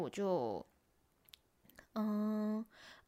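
Speaking in a Taiwanese accent, a woman has a fairly high pitch. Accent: Taiwanese Mandarin. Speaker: YouTuber and podcaster. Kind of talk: casual solo vlog-style monologue.

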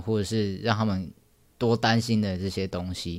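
On a very clean recording with a silent background, a man talks at a moderate pace in a fairly low pitch. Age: 20s. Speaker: podcast host. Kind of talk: personal storytelling monologue. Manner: halting.

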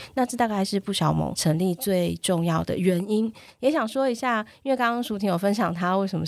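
In an ordinary speaking voice, a woman talks at a fairly quick pace with hardly any pauses, using lively intonation at a medium pitch, in a very clean recording with a silent background. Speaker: NGO chair, parenting advocate. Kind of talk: casual chat.

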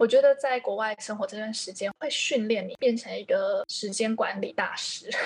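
Against noticeable background noise, a woman talks at a moderate pace with hardly any pauses and big swings in loudness. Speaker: freelance English teacher. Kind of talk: podcast interview.

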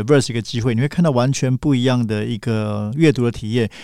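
A man talks at a very fast pace with ordinary pitch variation on a very clean recording with a silent background. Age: 40s. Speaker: magazine editor and writer. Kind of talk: casual interview chat.

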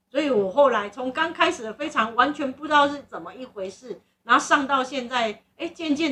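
The tone is bright and sharp. Intonation moves in a lively way. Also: woman. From southern Taiwan. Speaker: podcast host. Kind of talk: casual chat. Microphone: recording equipment problems, noise.

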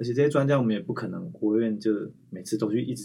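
Here a man talks at a fairly quick pace in a medium pitch. His tone is dark and mellow, with vocal fry. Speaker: infectious disease physician and researcher. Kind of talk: interview conversation. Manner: frequent fillers.

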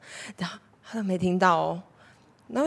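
A woman speaks with an animated tone. Her pace is moderate. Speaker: podcast host. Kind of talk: casual monologue. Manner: animated, frequent loud laughter.

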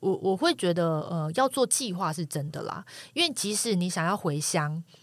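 A woman with an unremarkable speaking voice at a medium pitch, lively intonation and a moderate pace, in a dry, close sound with no echo. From Taiwan, coastal Taichung. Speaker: former journalist. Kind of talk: casual chat.

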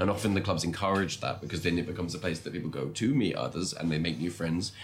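Delivered at a very fast pace with an English accent, the voice shows vocal fry and ordinary pitch variation. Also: man. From England. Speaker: long-term world traveller. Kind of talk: casual interview chat.

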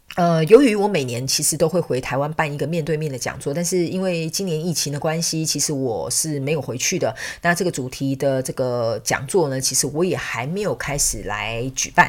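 A woman with a very deep, low pitch talks at a fairly quick pace with hardly any pauses and ordinary pitch variation. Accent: Taiwanese. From Taiwan. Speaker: podcast host and spiritual counselor. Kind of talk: casual chat.

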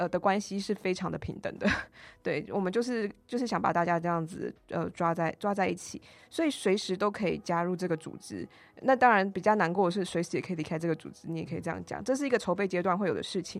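A woman rattles along at a very fast pace with vocal fry, a medium pitch and ordinary pitch variation. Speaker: union organizer and urban planner. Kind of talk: casual interview.

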